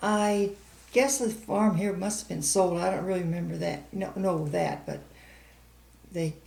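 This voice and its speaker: A woman with an American accent, somewhat breathy, in a dark, mellow tone, at a fairly slow pace with long, frequent pauses. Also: medium pitch for a woman, ordinary pitch variation. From US Midwest, St. Charles County, Missouri. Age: 80s+. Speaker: oral history interviewee. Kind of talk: oral history interview.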